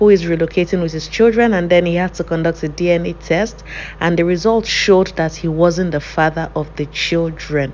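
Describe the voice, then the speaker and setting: There is light background noise behind a woman with a fairly low pitch. She speaks at a moderate pace with ordinary pitch variation. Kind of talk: casual cooking tutorial chat. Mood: chatty, playful, laughing. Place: kitchen.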